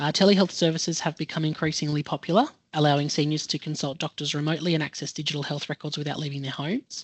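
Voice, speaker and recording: Spoken very fast with hardly any pauses, the voice has an Australian accent. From New South Wales, Australia. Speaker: health educator presenter. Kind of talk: online presentation.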